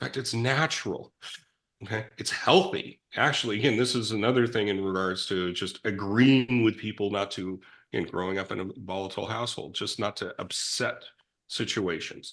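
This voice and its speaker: In a quiet background, a man with an American accent speaks at a moderate pace in a fairly low voice with ordinary pitch variation. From California, Silicon Valley. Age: 60s. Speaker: recovering addict sharing life story. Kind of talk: conversational interview. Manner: halting, with frequent restarts.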